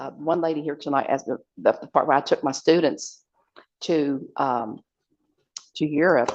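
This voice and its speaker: In an American accent, a woman speaks with a very deep, low pitch and fairly even intonation. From southern West Virginia, Logan. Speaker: memoir author. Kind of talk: book talk to audience. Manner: halting.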